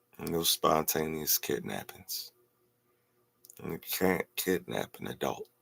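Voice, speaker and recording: A man with an American accent talks at a very slow pace with long, frequent pauses. Music plays in the background, and the sound is dry and close with no echo. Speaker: vlogger, musician. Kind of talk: casual monologue. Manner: animated.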